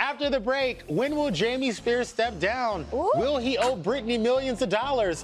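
A man talks with hardly any pauses in an extremely high voice. Noticeable background noise runs underneath. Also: ordinary pitch variation, moderate pace. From Louisiana. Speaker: entertainment TV talk show host. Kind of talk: casual entertainment talk show chat. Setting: TV studio. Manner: animated.

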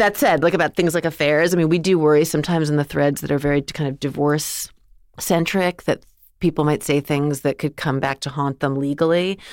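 Speaking at a fairly quick pace, a woman with a very deep, low pitch keeps her intonation fairly even, recorded dry and close with no echo against a silent, very clean background. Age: 40s. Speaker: founder of an online group for women over forty. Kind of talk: interview.

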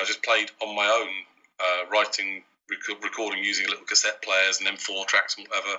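A man with a British accent at a very fast pace. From Wales and Isle of Man. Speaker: microphone company CEO. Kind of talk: interview. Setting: video call.

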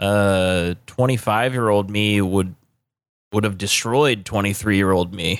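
A man's unremarkable speaking voice, fairly low in pitch, with fairly even intonation and a fairly slow pace, on a very clean recording with a silent background. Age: 30s. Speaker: podcast co-host. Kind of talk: casual chat.

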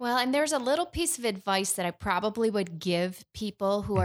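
Heard on a very clean recording with a silent background, a woman with an American accent has an unremarkable speaking voice, medium pitch, and lively intonation. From Michigan. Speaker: former 911 director. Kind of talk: casual chat.

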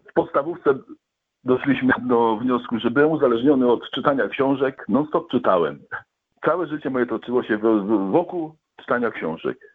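At a fairly quick pace, a man talks in an ordinary speaking voice at medium pitch with ordinary pitch variation. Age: 50s. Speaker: recovering alcoholic guest. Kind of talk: testimony. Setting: phone call.

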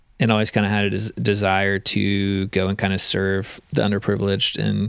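Talking at a fairly quick pace, a man has a fairly low pitch. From US Gulf Coast. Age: 30s. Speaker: nonprofit founder and business executive. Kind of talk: casual interview. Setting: at home.

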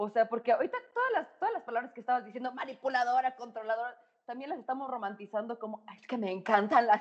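Talking at a fairly quick pace, a woman keeps her pitch high. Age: 30s. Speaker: psychologist and sexologist. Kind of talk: casual chat. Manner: animated.

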